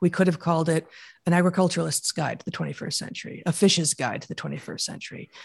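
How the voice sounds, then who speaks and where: Talking at a very fast pace, a woman with a fairly low pitch and vocal fry keeps a monotone, flat intonation while her loudness swings widely. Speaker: evolutionary biologist and author. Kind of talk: interview conversation.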